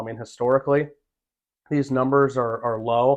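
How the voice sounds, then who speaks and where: A man speaks at a moderate pace with an American accent, in an unremarkable speaking voice. His pitch is medium and his intonation fairly even. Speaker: auctioneer and realtor. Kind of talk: interview answer about the real estate market. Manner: conversational, fluent, with many filler words.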